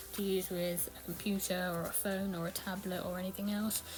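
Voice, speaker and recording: Noticeable background noise sits under a woman who talks at a fairly quick pace. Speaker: tech youtuber. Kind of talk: product review walkthrough. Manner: hesitant with fillers.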